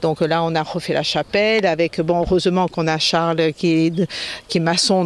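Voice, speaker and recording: A high-pitched man at a moderate pace, with ordinary pitch variation and noticeable background noise. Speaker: heritage association president. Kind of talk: interview. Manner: hesitant, many fillers.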